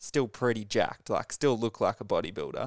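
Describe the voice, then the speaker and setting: The recording is very clean, with a silent background and a dry, close sound free of echo. A man speaks at a medium pitch with fairly even intonation. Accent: Australian. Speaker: podcast host. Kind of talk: casual interview chat.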